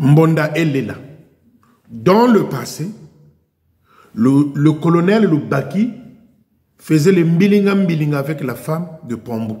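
A man talks very slowly at a fairly high pitch, pausing long and often. His tone is dark and mellow. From Republic of the Congo. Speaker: YouTube commentator. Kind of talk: video monologue. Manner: animated. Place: garage. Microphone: headset.

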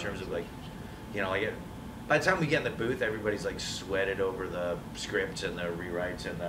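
Speech comes at a very fast pace with ordinary pitch variation, over noticeable background noise. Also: man. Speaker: voice actor interviewee. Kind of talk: interview answer. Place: hall. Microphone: camera far.

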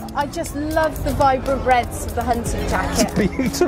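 At a fairly quick pace, a woman talks over clear background music. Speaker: interviewee. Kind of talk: interview answer. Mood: warm, enthusiastic.

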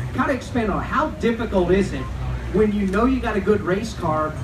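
Through noticeable background noise, a man can be heard talking at a fairly quick pace. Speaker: event host. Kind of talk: fan Q&A. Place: stage.

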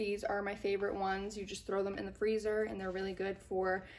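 A woman speaks at a fairly quick pace. Light background noise sits behind her. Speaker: mom vlogger. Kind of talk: casual haul vlog chat. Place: home room. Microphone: camera far.

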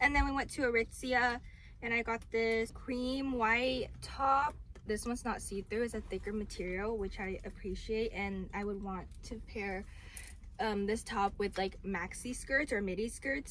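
Over light background noise, the speech comes at a moderate pace with ordinary pitch variation and a dry sound with no echo. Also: woman. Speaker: vlogger showing her purchases. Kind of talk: casual vlog chat. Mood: cheerful, relaxed. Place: car. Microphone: phone near.

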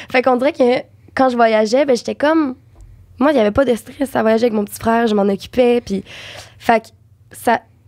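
A woman speaks at a fairly quick pace in a Quebec accent, her pitch high and her intonation fairly even. Long, frequent pauses break up her speech against a quiet background. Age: young. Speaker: actress and dubbing voice actor. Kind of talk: podcast interview answer. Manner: casual, chatty. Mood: relaxed, warm storytelling. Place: studio. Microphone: studio mic.

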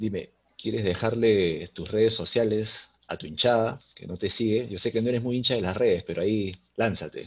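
In a normal speaking voice, a man talks at a moderate pace with a fairly low pitch, ordinary pitch variation and big swings in loudness. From Peru. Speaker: podcast host; interview host. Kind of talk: interview. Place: home room. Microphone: video call.

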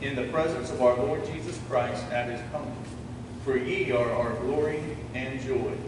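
A man is speaking. Noticeable background noise and audible room echo surround him. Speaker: pastor. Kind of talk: scripture reading in a sermon. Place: church.

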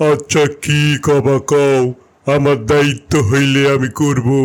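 Using a cartoonish character voice, a man talks fairly slowly at a fairly high pitch with monotone, flat intonation. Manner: casual, rustic dialect.

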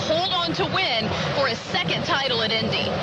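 Crowd noise runs in the background as a woman speaks in a dry sound with no echo. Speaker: TV race show host. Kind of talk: broadcast presenting. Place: stadium. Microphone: handheld.

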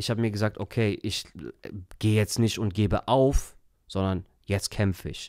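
A man over a quiet background, in a dry sound with no echo. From Germany. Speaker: entrepreneur and coach; podcast guest. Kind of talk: casual interview. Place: studio. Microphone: studio mic.

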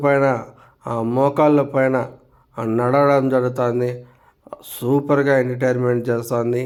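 The man's medium-pitched voice carries a monotone, flat intonation. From Andhra Pradesh. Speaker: travel vlogger. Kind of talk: vlog narration. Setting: outdoors. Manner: halting.

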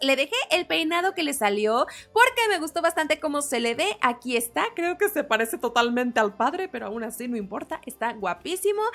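In a high pitch with very wide swings, a woman speaks at a moderate pace in an animated tone that is bright and sharp. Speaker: gaming YouTuber. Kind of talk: gameplay commentary. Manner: loud.

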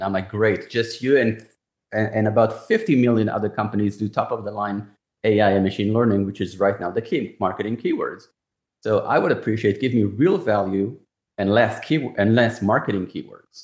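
A man at a moderate pace with fairly low pitch and fairly even intonation, over a quiet background with audible room echo. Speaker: cybersecurity executive. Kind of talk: interview. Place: home room. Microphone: video call.

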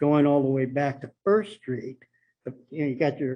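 This man's voice sits fairly high in pitch and has a dark, mellow tone. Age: 70s. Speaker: property owner speaking at public comment. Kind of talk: public comment at city meeting. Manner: halting.

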